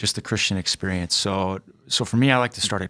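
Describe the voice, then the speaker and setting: A man's fairly low voice with a dry, close sound and no echo. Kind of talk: casual chat. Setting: studio. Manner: animated.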